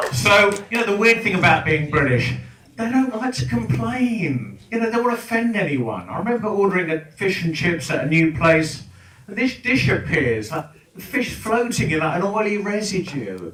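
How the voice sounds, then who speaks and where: Over noticeable background noise and audible room echo, a man with a high pitch speaks at a moderate pace in an English accent, his pitch swinging very widely. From England. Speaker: comedian. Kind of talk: stand-up. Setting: stage with audience. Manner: animated.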